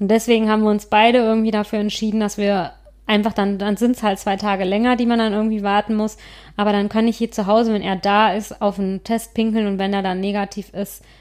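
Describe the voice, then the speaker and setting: Very fast and monotone, a woman's medium-pitched voice comes through flat in a very clean recording with a silent background. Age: 30s. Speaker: podcast co-host on fertility. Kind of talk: casual chat.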